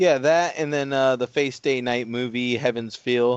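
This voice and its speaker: Here is a man with a normal speaking voice. He keeps a moderate pace and fairly even intonation. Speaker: podcast co-host. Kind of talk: casual chat.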